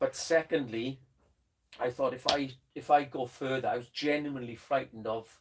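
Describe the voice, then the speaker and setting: A man in a Welsh accent speaks at a moderate pace and medium pitch with fairly even intonation. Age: old. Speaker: drum teacher. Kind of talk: casual chat. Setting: studio.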